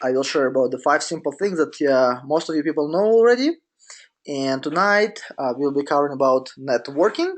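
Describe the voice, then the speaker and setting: Speaking with a Russian accent, a man with a fairly high pitch talks at a fairly quick pace with ordinary pitch variation. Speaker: business coach. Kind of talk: webinar presentation. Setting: online webinar. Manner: halting, many fillers.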